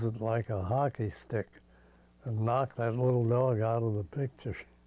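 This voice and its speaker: A man speaks at a moderate pace with a medium pitch. His tone is dark and mellow, and his intonation fairly even. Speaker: former thrill show sound man. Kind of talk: interview reminiscence.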